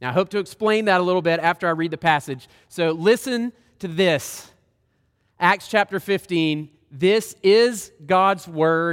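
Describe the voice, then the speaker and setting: On a very clean recording with a silent background, the speaker uses a Southern US accent at a fairly slow pace, with ordinary pitch variation. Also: man, high pitch for a man. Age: 30s. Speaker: guest preacher. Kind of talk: sermon. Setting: church.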